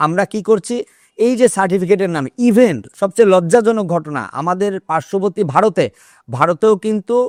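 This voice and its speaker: A man speaks with a high pitch and ordinary pitch variation. The recording is very clean and dry, close-miked with no echo and a silent background. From Russia. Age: 50s. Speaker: political commentator. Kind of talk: monologue commentary.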